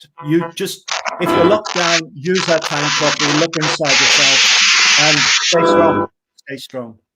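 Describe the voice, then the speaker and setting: A man's high-pitched voice at a fairly slow pace, with fairly even intonation and music in the background. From northeast England. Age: 60s. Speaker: singer-songwriter. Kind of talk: casual interview chat. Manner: halting, repeats words.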